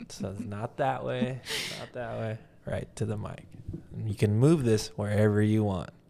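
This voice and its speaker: This man's voice sits fairly low in pitch. He speaks loudly. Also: ordinary pitch variation, moderate pace. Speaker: art gallery owner and video creator. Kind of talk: casual chat.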